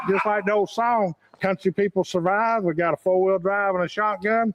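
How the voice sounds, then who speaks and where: High-pitched for a man, this male voice with a Southern Appalachian accent moves at a moderate pace with fairly even intonation in a dry, close sound with no echo. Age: 60s. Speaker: local resident. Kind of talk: casual chat.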